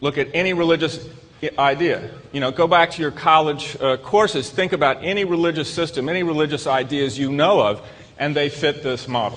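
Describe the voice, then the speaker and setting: A man with a Southern US accent speaks at a moderate pace. Noticeable background noise runs under him. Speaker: psychiatrist and lecturer. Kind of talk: lecture. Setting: stage with audience. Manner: repetitive, halting restarts.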